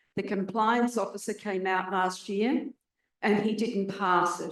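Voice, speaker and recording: A woman speaks in an Australian accent at a medium pitch. Her pace is moderate and her intonation fairly even. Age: 70s. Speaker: audience member, renter and environmental activist. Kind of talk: audience question at forum.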